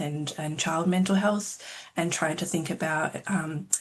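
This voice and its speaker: Over noticeable background noise, a woman with an Australian accent speaks at a fairly low pitch with fairly even intonation. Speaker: clinical psychologist and researcher. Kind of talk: self-introduction at info session. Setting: video call.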